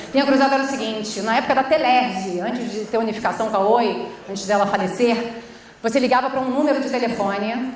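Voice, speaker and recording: With a Rio de Janeiro accent, a woman speaks very fast in a high, animated voice over noticeable background noise and audible room echo. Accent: carioca. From Rio de Janeiro, Brazil (Baixada Fluminense). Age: 40s. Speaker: social entrepreneur, conference speaker. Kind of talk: conference talk. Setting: stage with audience. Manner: informal, animated.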